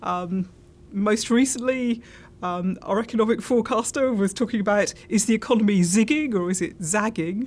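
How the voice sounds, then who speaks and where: A woman with a British accent speaks in a fairly high pitch, her voice somewhat breathy. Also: ordinary pitch variation, moderate pace. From UK. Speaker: insurance industry consultant. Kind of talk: interview.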